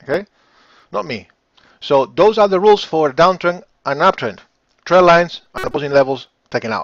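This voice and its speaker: Lively intonation in a Spanish accent at a moderate pace. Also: man. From Spain. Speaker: forex trading educator. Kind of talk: live webinar. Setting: live online stream.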